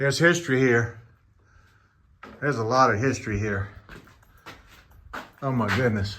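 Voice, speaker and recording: A man with a medium pitch speaks at a moderate pace with ordinary pitch variation, leaving long, frequent pauses. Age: 60s. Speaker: long-distance hiker. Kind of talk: casual vlog talk to camera.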